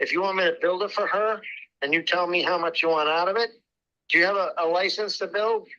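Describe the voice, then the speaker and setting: A man's high-pitched, raised, projected voice with a bright, sharp tone, fairly even intonation, very even loudness and a very fast pace. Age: old. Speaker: home builder selling land. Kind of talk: phone sales negotiation. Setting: phone call from a loud restaurant.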